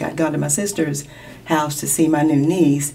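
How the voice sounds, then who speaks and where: A woman with a Kentucky accent talks at a moderate pace against noticeable background noise. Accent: Kentucky American. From Lexington, Kentucky. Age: 50s. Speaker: sports hall of fame co-founder. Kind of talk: interview.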